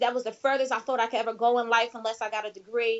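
A woman talks at a high pitch. She has a Philadelphia accent. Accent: Philadelphia American. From US Northeast, Philadelphia. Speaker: network marketing leader. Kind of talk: interview.

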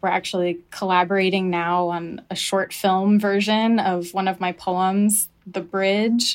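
A woman speaks at a fairly slow pace in a medium pitch, with monotone, flat intonation and hardly any pauses. The recording is very clean, with a silent background. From US South (Birmingham, Alabama area). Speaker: poet. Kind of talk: interview. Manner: reflective, with fillers.

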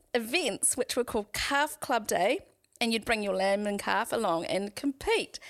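With a New Zealand accent, a woman talks at a moderate pace with lively intonation and very even loudness on a very clean recording with a silent background. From New Zealand, Waikato. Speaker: painter and artist. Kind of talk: casual interview.

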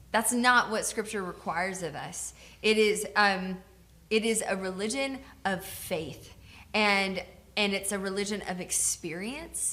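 Heard with audible room echo, the speaker uses an American accent, a bright, sharp tone, a fairly slow pace, and ordinary pitch variation. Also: woman, medium pitch for a woman. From US South (Georgia). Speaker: pastor. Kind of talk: co-taught sermon.

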